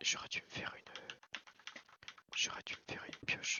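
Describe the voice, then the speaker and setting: A man speaks. He is whispering. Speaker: ASMR gaming creator. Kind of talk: gameplay commentary. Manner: whispered.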